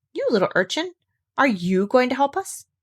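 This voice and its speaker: Using a put-on character voice, a woman speaks at a high pitch with very wide pitch swings, the sound dry and close with no echo. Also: moderate pace. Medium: read story.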